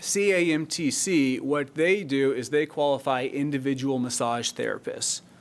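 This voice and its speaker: Speaking with hardly any pauses, a man uses a fairly high pitch. His pitch varies in an ordinary way. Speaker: city staff attorney presenting ordinance. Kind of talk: public meeting presentation. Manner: fast.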